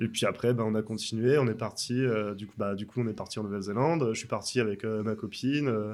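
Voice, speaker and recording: An ordinary speaking voice from a man at medium pitch, with fairly even intonation, big swings in loudness, and a very clean recording over a silent background. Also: fairly quick pace. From France. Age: 30s. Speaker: tattoo artist. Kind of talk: casual interview. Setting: tattoo shop.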